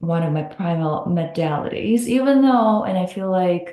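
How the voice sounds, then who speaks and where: In a room with audible echo, a woman speaks at a moderate pace and a fairly low pitch, her intonation varying in an ordinary way. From Russia. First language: Russian. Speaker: hypnotherapist. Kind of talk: podcast interview.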